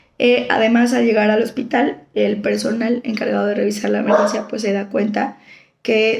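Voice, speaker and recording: Through noticeable background noise, a woman talks at a fairly quick pace and a fairly high pitch. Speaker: law student. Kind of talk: school assignment presentation. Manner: halting.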